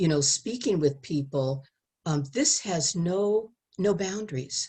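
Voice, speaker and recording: The voice sounds somewhat breathy, with ordinary pitch variation. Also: woman. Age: 70s. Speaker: sex education speaker. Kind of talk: testimony.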